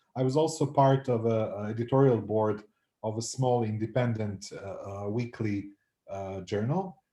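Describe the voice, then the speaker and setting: Speaking at a moderate pace, a man uses a dark, mellow tone that is somewhat breathy, set at medium pitch with ordinary pitch variation. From North Macedonia. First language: Macedonian. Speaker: anthropology professor. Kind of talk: interview. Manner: hesitant, many fillers and repeats.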